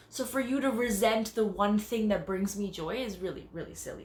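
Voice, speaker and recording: A woman in a Canadian accent, fairly high in pitch with ordinary pitch variation, a bubbly, animated tone and big swings in loudness, with audible room echo. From Canada. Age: 30s. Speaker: dancer and choreographer. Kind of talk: self-tape audition monologue. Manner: loud and bubbly.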